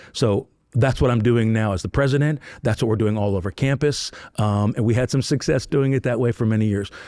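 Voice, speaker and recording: Very even in loudness, a man speaks at a medium pitch with a dark, mellow tone. The sound is dry and close with no echo, and the recording is very clean with a silent background. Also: ordinary pitch variation, fairly quick pace. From northern US. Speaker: university president. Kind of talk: interview. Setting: live recording at a conference. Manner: fast.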